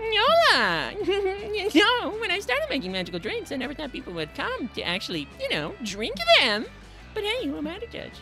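An extremely high-pitched voice speaks at a moderate pace with clear music in the background.

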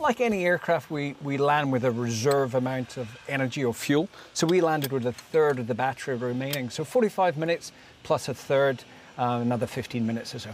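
Talking at a fairly quick pace, a man sounds dry with no echo, over light background noise. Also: ordinary pitch variation. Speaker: interviewee. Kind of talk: interview answer. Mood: upbeat, enthusiastic. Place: open country. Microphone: lapel.

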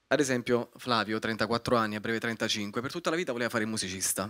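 A man's bright, sharp tone moves at a very fast pace over a quiet background. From Naples, Italy; Italy. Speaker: young screenwriter pitching; guest. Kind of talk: pitch presentation. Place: hall. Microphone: handheld.

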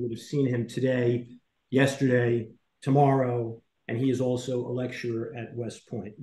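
Somewhat breathy and with fairly even intonation, a man's voice carries audible room echo. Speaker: program host. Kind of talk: introducing guest speakers. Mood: serious, earnest. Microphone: video call.

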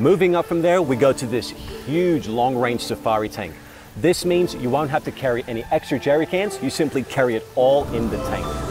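A man speaks at a fairly quick pace with a dry sound and no echo. Clear music plays in the background. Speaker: presenter. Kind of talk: product presentation. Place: open country. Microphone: lapel.

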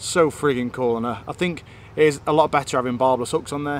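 A man speaking at a fairly quick pace with ordinary pitch variation, dry sound with no echo, and light background noise. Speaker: angler vlogger. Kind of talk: casual vlog chat. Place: waterside. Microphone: phone near.

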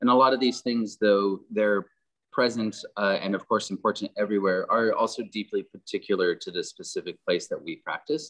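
A man with a General American accent at a fairly quick clip, in a dry, close sound with no echo. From Southern California. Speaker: landscape architect. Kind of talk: presentation. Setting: video call.

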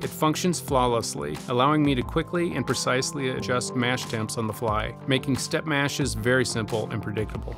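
A man talks at a fairly quick pace. Clear music can be heard in the background. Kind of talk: tour narration. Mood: calm, proud. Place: home room.

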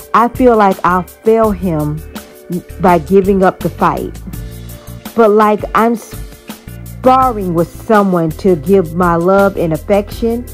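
Someone speaks at a very slow pace over music in the background. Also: woman. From Miami, Florida. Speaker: poet. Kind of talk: spoken word poetry.

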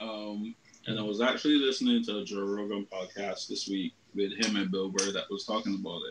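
Noticeable background noise sits behind a man whose fairly low voice moves at a fairly quick pace with fairly even intonation. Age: 30s. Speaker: anime podcast co-host. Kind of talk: casual chat. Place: home room. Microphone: video call.

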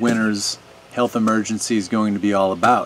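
Over light background noise, a man speaks at a moderate pace with monotone, flat intonation. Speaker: video commentator. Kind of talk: opinion monologue to camera. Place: garden.

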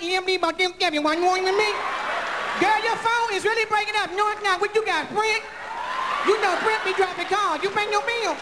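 A woman talks fairly quickly while loud noise fills the background. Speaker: stand-up comedian. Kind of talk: stand-up comedy, telling a story and doing bits. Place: stage. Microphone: handheld.

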